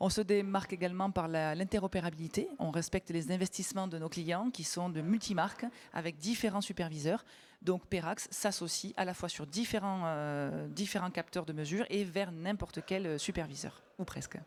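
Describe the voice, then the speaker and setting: A woman with a Toulouse accent, fairly low-pitched, fairly even in intonation, at a moderate pace, in a very clean recording with a silent background. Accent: southern French (Toulouse). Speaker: company sales director. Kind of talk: conference panel presentation. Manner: hesitant, many fillers.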